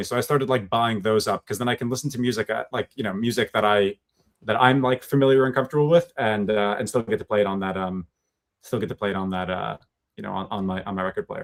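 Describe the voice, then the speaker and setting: Talking at a very fast pace, a man uses a medium pitch with ordinary pitch variation. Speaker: podcast co-host. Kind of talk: casual chat. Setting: home basement office, live stream. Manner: loud; halting, many fillers.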